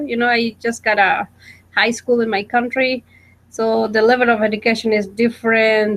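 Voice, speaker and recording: A woman speaks at a moderate pace with a Guatemalan accent. Her pitch sits fairly high. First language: Spanish. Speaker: college student. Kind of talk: casual chat. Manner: halting.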